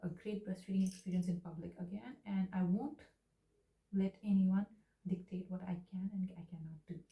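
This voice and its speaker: The tone is dark and mellow, somewhat breathy. Intonation stays fairly even. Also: woman. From India. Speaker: new mother, video diarist. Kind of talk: personal video diary addressed to her baby son. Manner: emotional, ranting.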